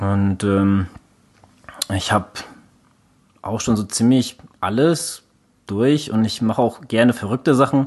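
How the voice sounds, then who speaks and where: Pausing long and often, a man talks at a very slow pace in a medium pitch with ordinary pitch variation. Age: 30s. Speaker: endurance sports podcast co-host. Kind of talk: casual chat.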